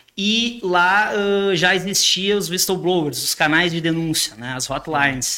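A man at a high pitch and a fairly slow pace, with noticeable background noise. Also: ordinary pitch variation, hardly any pauses. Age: 30s. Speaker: businessman. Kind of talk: casual chat.

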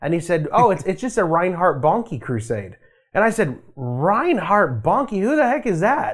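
With an American accent, a man speaks fairly slowly in a high voice that swings very widely in pitch. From Las Vegas, Nevada, US. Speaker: worship leader. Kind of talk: casual interview chat.

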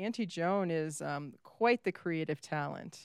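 An unremarkable speaking voice comes through on a very clean recording with a silent background. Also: woman. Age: 50s. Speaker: podcast co-host. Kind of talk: casual chat.

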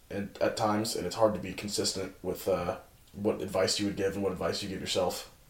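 Someone talks at a very fast pace, with audible room echo around the voice. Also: man. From California. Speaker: college track and field thrower. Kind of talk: casual chat.

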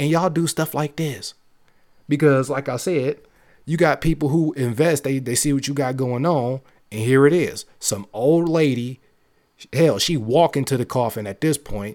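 In an animated tone, a man with a fairly high pitch speaks at a moderate pace with ordinary pitch variation. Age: 20s. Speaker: gaming podcast host. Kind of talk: casual solo commentary.

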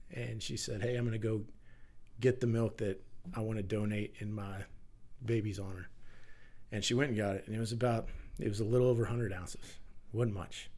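Speaking in a Texan accent, a man with a fairly low pitch and a somewhat breathy voice talks at a fairly quick pace with long, frequent pauses and fairly even intonation, while audible room echo surrounds him. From Texas. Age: 40s. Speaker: firefighter and milk bank founder. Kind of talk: interview conversation.

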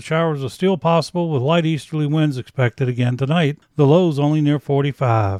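With an American accent, a man talks at a fairly quick pace. He has a normal speaking voice, fairly high in pitch. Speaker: local meteorologist. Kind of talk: scripted local weather forecast, read straight through. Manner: steady, measured delivery, a rundown of numbers and fronts; friendly, folksy sign-off warmth.

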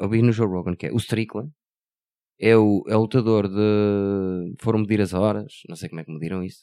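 A man with a European Portuguese accent, fairly low in pitch, dark and mellow in tone, at a moderate pace with fairly even intonation, on a very clean recording against a silent background. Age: 40s. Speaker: podcast co-host. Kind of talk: casual chat.

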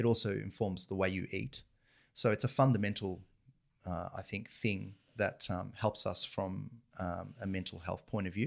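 Recorded very cleanly against a silent background, a man with an Australian accent speaks at a moderate pace in a fairly low voice with vocal fry and fairly even intonation. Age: 40s. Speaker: financial advisor and family business co-owner. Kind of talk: interview conversation.

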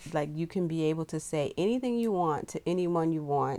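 On a very clean recording with a silent background, a woman with a plain, everyday voice speaks at a moderate pace and a fairly low pitch. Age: 50s. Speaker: podcast co-host, mother. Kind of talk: casual chat.

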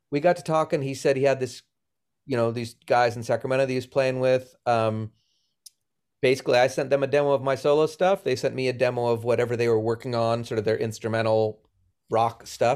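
In a normal speaking voice, a man with an American accent talks at medium pitch. His pace is fairly quick and his intonation fairly even. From Boston, US. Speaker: touring musician. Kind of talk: casual interview chat.

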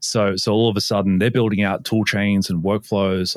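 On a very clean recording with a silent background, a man with an Australian accent speaks fairly quickly in a very deep, low, monotone voice. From Sydney, Australia. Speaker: cybersecurity company founder. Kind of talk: casual interview.

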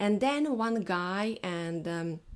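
Against a silent background in a very clean recording, a woman with a non-native accent talks at a medium pitch with lively intonation. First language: not English. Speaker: SEO mindset coach. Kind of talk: solo podcast monologue. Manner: halting, many fillers.

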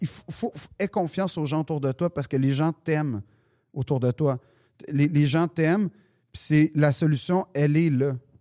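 With a Quebec accent, a man speaks fairly slowly in a dark, mellow tone, his pitch fairly high with ordinary variation and long, frequent pauses. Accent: Québécois French. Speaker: comedian. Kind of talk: casual chat.

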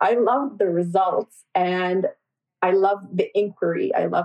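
Pitch varies in an ordinary way across an unremarkable speaking voice. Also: woman. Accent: Canadian. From Canada, Toronto area. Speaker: osteoarthritis researcher, professor. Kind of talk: casual interview.

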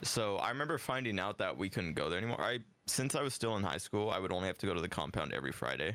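The tone is bright and sharp, with very wide pitch swings. Loudness stays very even while the pace is very fast. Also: man, fairly low pitch for a man. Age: 20s. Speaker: social media content creator. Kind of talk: casual chat.

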